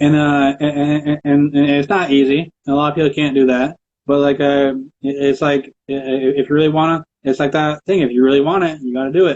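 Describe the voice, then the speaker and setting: The man's pitch is fairly high and his intonation monotone and flat. He talks at a fairly quick pace. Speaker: podcast interviewer. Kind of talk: casual interview chat. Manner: halting, repetitive.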